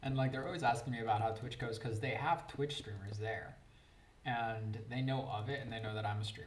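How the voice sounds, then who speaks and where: A man's somewhat breathy voice at medium pitch, fairly quick, with ordinary pitch variation and audible room echo. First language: Spanish. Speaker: Twitch streamer playing Minecraft. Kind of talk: casual live-stream chat while gaming. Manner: chatty, casual, with fillers.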